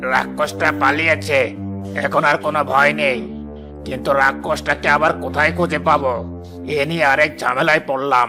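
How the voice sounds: Doing a cartoonish character voice at a medium pitch, a man speaks at a moderate pace over clear music in the background.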